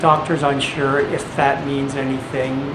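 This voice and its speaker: Against noticeable background noise, the speech unfolds at a very slow pace with fairly even intonation. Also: man. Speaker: video blogger living with HIV and hepatitis C. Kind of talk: casual health update vlog to camera. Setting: camcorder without external microphone. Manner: hesitant, many filler words.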